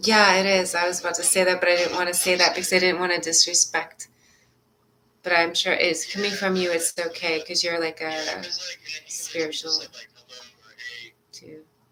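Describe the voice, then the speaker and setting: Loudness swings widely as a woman speaks at a fairly quick pace in a fairly low pitch with fairly even intonation. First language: not English. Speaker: spiritual session guide. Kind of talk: spiritual session.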